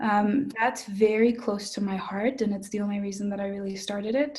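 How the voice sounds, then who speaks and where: Fairly even intonation with a dark, mellow, somewhat breathy tone. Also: woman. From Mexico. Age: young. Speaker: budding artist. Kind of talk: interview answer.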